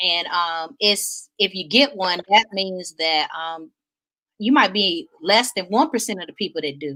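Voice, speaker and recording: Delivered in a Southern US accent, the voice has a bright, sharp tone, lively intonation and big swings in loudness. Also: woman, medium pitch for a woman, fairly slow pace, dry, close sound with no echo. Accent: Southern twang. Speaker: talk show host. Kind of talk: casual chat.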